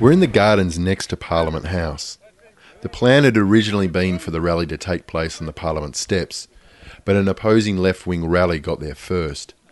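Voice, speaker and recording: Here a man talks with a very deep, low pitch and ordinary pitch variation. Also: fairly quick pace. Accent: Australian. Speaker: podcast host and audio producer. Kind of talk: scripted narration.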